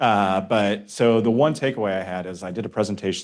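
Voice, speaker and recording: A man talks with ordinary pitch variation. The background is quiet. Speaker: city transportation engineer presenting. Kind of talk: public meeting presentation. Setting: community meeting room with audience. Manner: fast.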